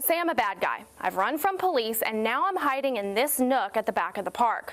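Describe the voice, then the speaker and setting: A high-pitched woman's voice with very wide pitch swings and a fairly quick pace, against noticeable background noise. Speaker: TV news anchor and reporter. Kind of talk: local TV morning news anchor read.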